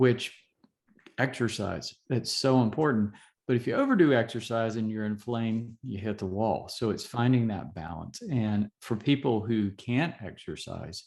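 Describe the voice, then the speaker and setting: Against a quiet background, a man talks at a moderate pace in a plain, everyday voice, medium in pitch with ordinary pitch variation. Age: 60s. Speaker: physician. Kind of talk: interview.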